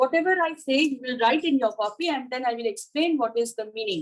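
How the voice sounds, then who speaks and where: A woman talks at a very fast pace with lively intonation. Her pitch is high. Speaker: college lecturer. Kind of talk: lecture.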